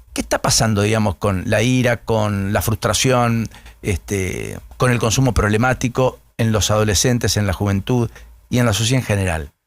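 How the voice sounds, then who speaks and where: A man speaks in an ordinary speaking voice at a fairly low pitch. His loudness stays very even, his intonation fairly even, and his pace moderate. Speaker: radio host. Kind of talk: morning radio interview.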